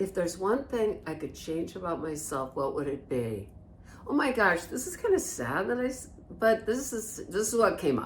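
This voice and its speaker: A woman of medium pitch speaks with very wide pitch swings, amid audible room echo and noticeable background noise. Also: moderate pace. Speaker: codependency recovery podcast co-host. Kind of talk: casual chat. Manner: loud.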